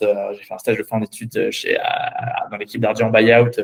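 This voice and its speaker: A man is talking at a moderate pace. His pitch is medium. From France, Paris. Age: 20s. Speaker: finance professional. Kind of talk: mock job interview. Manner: halting, many filler sounds and repetitions.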